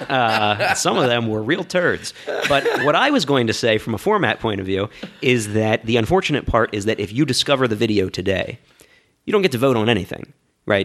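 This man has a normal speaking voice at medium pitch. He moves at a fairly quick pace with lively intonation. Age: 30s. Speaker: wargaming YouTube channel creator. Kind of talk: casual interview conversation.

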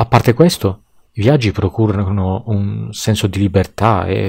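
A man's voice is somewhat breathy, dark and mellow, with ordinary pitch variation. The recording is very clean, the background silent. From Tuscany, Pisa. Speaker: podcast guest. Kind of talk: scripted monologue.

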